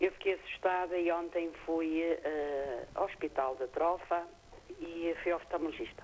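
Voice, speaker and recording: Over music in the background, a woman talks at a fairly slow pace with a fairly low pitch and fairly even intonation. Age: 60s. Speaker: caller. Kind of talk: phone-in question. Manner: halting.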